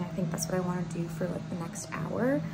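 Music sounds behind the speaker. She is a woman. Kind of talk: casual vlog chat. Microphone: phone near.

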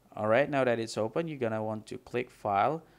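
A man is speaking. He has a non-native accent. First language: not English. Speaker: gaming tutorial creator. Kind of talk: software tutorial screen-recording narration. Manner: unscripted, some mumbling, quiet.

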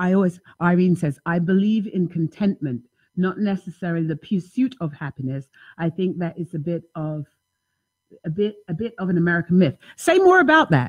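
Against a quiet background, a woman speaks at a moderate pace in a fairly low, somewhat breathy voice. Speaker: talk show host. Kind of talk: call-in radio show talk. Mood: warm, lively, laughing. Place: home room. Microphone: studio mic.

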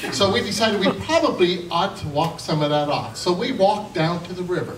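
A high-pitched man's voice amid light background noise and audible room echo. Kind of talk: humorous storytelling to an audience. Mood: jovial, amused. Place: hall.

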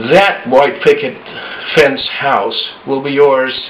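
A man talks at a very slow pace. His pitch is fairly high. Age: 60s. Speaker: author and management consultant. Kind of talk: personal opinion talk to camera. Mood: earnest, hopeful, a bit frustrated.

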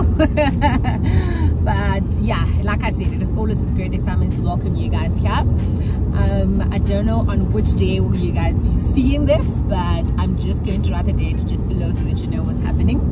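A woman's voice with ordinary pitch variation over music in the background. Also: moderate pace. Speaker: vlogger. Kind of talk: casual vlog chat. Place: car. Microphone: phone near.

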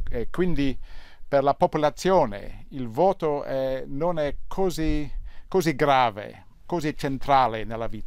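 The speaker uses an English accent and talks at a very slow pace. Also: man. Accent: English-accented Italian. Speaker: newspaper columnist. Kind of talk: TV interview. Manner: halting, hesitant.

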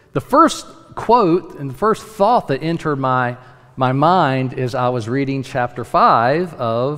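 The background stays quiet. This man's speech unfolds at a very slow pace. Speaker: pastor. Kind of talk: sermon. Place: church. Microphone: podium.

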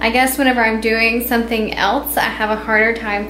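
Background music is playing. The woman talks at a moderate speed. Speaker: vlogger. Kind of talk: casual vlog chat. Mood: apologetic, light laughter. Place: kitchen. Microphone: phone near.

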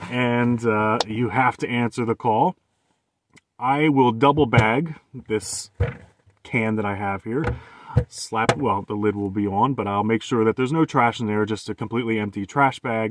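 Noticeable background noise sits under a man speaking at a moderate pace with ordinary pitch variation, in a dry sound with no echo. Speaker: van dweller vlogger. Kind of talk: casual vlog chat. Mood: candid, lightly humorous. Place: car. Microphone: phone near.

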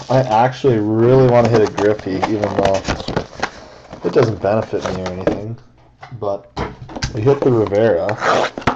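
Loud background noise, a moderate pace, and long, frequent pauses. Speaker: card break host. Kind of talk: live card break narration. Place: home room. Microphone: webcam.

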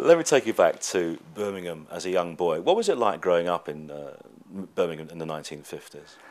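A man with a British accent at a fairly quick pace, his loudness swinging widely. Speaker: presenter, TV and radio broadcaster, event host, voice-over. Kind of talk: TV interview and red-carpet presenting.

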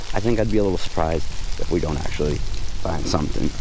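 A man speaks at a very fast pace. The sound is dry with no echo, and background noise is noticeable. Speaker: shed hunter vlogger. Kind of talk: casual vlog chat. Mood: excited, hopeful. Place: open country. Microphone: phone near.

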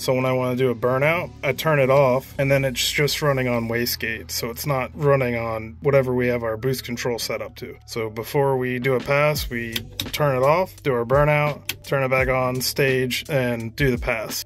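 Against light background noise, a man talks at a moderate pace with fairly even intonation and hardly any pauses. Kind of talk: tutorial. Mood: relaxed, casual. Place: car. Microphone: phone near.

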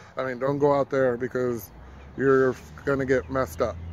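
A man talks at a moderate pace with fairly even intonation. The sound is dry with no echo, though background noise is noticeable. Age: 30s. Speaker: vlogger. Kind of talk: casual vlog monologue; casual vlog chat. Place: street. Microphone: phone near.

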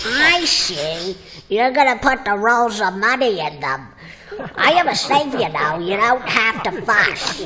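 A cartoonish character voice that sounds female, fairly high in pitch with very wide pitch swings, at a fairly slow pace over clear background noise

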